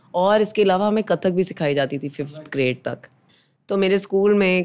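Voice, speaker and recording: A woman's voice with ordinary pitch variation. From Pakistan, Lahore. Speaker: actress. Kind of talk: interview conversation.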